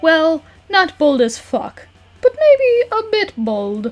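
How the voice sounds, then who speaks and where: Extremely high-pitched put-on character voice from a woman, very slow, with very wide pitch swings. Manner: dry, opinionated.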